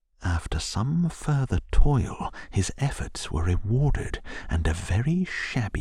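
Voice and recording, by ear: The speaker uses a natural voice. It is a reading-aloud delivery.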